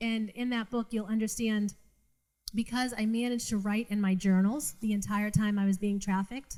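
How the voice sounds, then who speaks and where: Her tone is dark and mellow, her pitch medium. This woman speaks at a fairly quick pace with fairly even intonation. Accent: Boston. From Massachusetts North Shore, Revere/Saugus. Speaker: trafficking survivor and speaker. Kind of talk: testimony. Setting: live event with audience.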